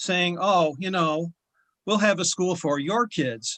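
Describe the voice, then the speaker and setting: A man speaks at a fairly slow pace in a bright, sharp tone. The sound is dry and close, with no echo. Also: quiet background. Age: 70s. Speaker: state legislator. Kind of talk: committee hearing remarks.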